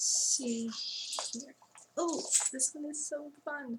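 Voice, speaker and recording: A soft-spoken woman amid noticeable background noise. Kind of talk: ASMR antique shop role play. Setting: studio.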